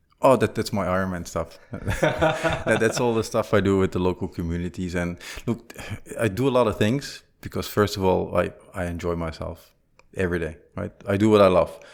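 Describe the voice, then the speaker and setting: At a moderate pace, a man speaks with a Flemish accent. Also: fairly low pitch for a man, ordinary pitch variation. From Belgium (Flanders). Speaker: business executive and entrepreneur. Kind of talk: casual interview.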